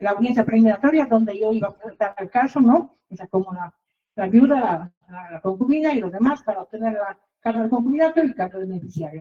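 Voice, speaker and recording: A woman's fairly high, somewhat breathy voice at a very fast pace, with lively intonation and big swings in loudness. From outside Mexico, foreign. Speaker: reporter and litigant telling her case. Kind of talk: testimony. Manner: halting, many fillers and repetitions.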